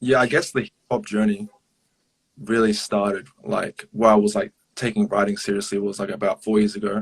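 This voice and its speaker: A man's fairly low voice in an Australian accent at a fairly quick pace, with a dry, close sound and no echo. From Australia, Melbourne. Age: 20s. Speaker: hip hop artist. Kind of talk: casual interview. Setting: live social media stream. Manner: hesitant, many fillers.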